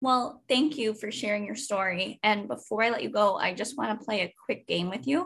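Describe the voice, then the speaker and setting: Her pitch fairly high and her intonation lively, a woman speaks at a moderate pace with vocal fry and hardly any pauses. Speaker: podcast host. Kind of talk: casual interview.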